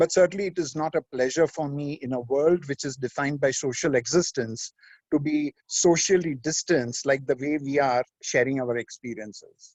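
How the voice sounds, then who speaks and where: A man with a fairly high voice speaks at a moderate pace, with ordinary pitch variation, in a normal speaking voice. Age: 60s. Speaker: management speaker. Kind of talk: webinar presentation. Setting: remote video call.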